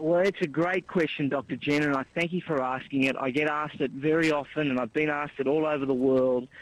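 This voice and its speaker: With an Australian accent, the speaker talks at a very fast pace with hardly any pauses and very even loudness. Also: man, fairly high pitch for a man. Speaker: author and commentator. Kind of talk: interview. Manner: animated.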